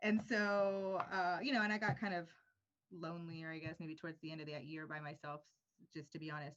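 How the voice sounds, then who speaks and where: With an American accent, a woman talks fairly quickly in an unremarkable speaking voice, fairly low in pitch, with ordinary pitch variation and big swings in loudness. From United States. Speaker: podcast co-host. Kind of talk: casual chat.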